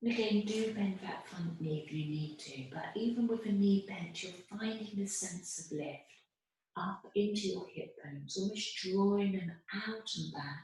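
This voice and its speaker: The voice is soft-spoken with ordinary pitch variation. Room echo can be heard. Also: woman, medium pitch for a woman. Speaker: yoga teacher. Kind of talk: guided yoga class instruction. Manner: slow.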